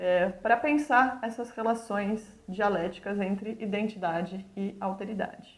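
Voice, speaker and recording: A woman's medium-pitched voice at a fairly slow pace, ordinary pitch variation and hardly any pauses. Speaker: university lecturer. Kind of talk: lecture.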